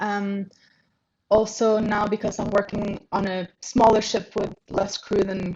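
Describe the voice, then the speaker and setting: Somewhat breathy, a woman with a medium pitch speaks at a fairly slow pace in a monotone, flat way. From Norway, abroad since sixteen. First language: Norwegian. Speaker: ship reception manager. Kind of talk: interview.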